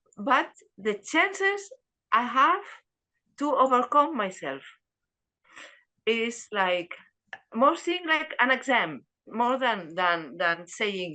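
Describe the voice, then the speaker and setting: This woman's tone is bright and sharp, her pitch swinging very widely. She talks at a very slow pace with long, frequent pauses. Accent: Spanish. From Spain. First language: Spanish. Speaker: dharma class participant. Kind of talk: group discussion. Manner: halting.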